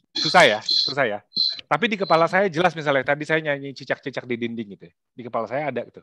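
A man's fairly high voice at a very fast pace, with lively intonation, big swings in loudness, and a dry, close sound with no echo. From Indonesia (Jakarta). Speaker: workshop facilitator. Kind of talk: workshop presentation. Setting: video call. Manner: casual, frequent fillers.

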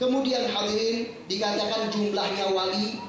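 The intonation stays fairly even. Strong room echo and noticeable background noise fill the recording. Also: man. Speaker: religious preacher. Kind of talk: sermon. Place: hall.

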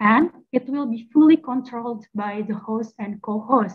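With an Indonesian accent, the speaker talks at a fairly slow pace. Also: woman. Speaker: master of ceremony; event host, moderator. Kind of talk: formal event hosting. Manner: formal. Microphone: video call.

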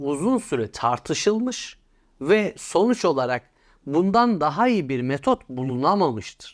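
Over a silent background in a very clean recording, a man speaks at a very slow pace. His fairly high pitch moves in very wide swings. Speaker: associate professor, political commentator. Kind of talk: casual explanatory interview.

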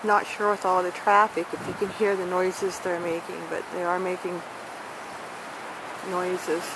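The speech runs at a moderate pace with long, frequent pauses, recorded dry with no echo but with noticeable background noise. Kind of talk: casual commentary. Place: garden. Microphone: phone near.

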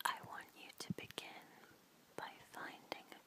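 Background noise is clearly audible. Over it, a woman whispers very slowly. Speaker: ASMR artist and tarot reader. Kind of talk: guided relaxation. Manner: whispered; soft-spoken, slow.

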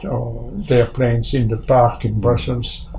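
This is a man speaking. Light background noise sits behind him. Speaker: interviewee. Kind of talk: interview answer. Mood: calm, reflective. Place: garage.

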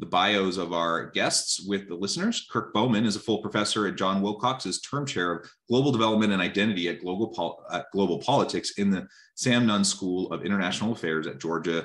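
A man talks at a fairly quick pace in a normal speaking voice. His pitch is fairly low, with ordinary variation. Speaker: webinar host. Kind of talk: reading bios, interview intro. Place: home room. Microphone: earbuds.

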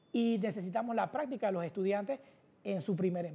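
At a moderate pace, a man talks, his pitch varying in an ordinary way. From Panama City, Río Abajo; Panama. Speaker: political candidate; candidate. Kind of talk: casual cooking show interview. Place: studio. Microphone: lapel.

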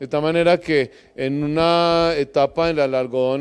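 In a normal speaking voice, a man talks at a fairly slow pace, his fairly high pitch showing ordinary variation. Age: middle-aged. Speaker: agronomist, project coordinator; presenter. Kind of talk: lecture. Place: hall. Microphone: handheld.

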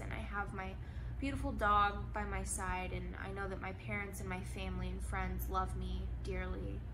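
A woman speaks at a moderate pace in a very deep, low voice. Her monotone, flat delivery sits over noticeable background noise. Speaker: lifestyle vlogger. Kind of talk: reflective monologue to camera. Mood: reflective, candid. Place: home room. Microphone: phone near.

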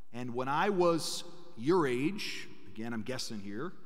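Over a quiet background, a man talks at a fairly slow pace with very wide pitch swings. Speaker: priest giving a parish mission talk. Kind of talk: sermon. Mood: warm, lightly humorous. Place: church. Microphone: podium.

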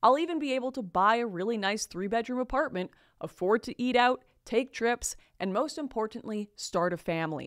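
An animated woman with a Canadian accent, fairly quick pace and lively intonation against a quiet background. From Canada. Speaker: commentator. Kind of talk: opinionated monologue to camera. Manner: animated, sarcastic. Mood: indignant, critical. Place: studio. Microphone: studio mic.

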